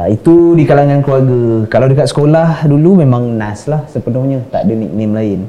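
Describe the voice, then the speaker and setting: Speech runs at a fairly quick pace with hardly any pauses and ordinary pitch variation. Noticeable background noise sits behind it. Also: man, medium pitch for a man. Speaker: podcast co-host. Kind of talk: casual chat.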